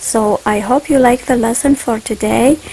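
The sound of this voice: A woman speaks at a moderate pace with vocal fry, a fairly high pitch, ordinary pitch variation and a dark, mellow tone.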